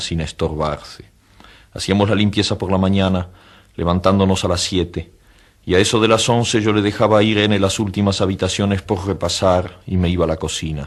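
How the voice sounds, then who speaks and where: This man has a normal speaking voice with fairly low pitch. He talks at a fairly quick pace with fairly even intonation. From Argentina. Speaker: writer. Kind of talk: author reading his own short story.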